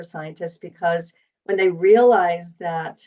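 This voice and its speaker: This is a normal speaking voice. The pace is fairly slow. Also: woman. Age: 60s. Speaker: wellness advocate. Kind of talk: podcast interview.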